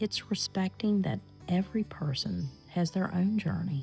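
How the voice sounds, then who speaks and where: With music in the background, a woman of fairly low pitch talks at a moderate pace, her tone calm and gentle and her intonation lively. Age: 50s. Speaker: lifestyle reflection vlogger. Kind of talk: reflective personal talk. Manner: calm, gentle.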